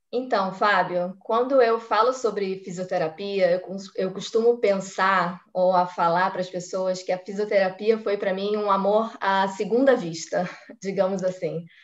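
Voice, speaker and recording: In an unremarkable speaking voice, the speaker goes at a fairly slow pace with fairly even intonation. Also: woman, medium pitch for a woman. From Brazil, Rio de Janeiro (Tijuca). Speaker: physiotherapist. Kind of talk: casual interview on a live stream.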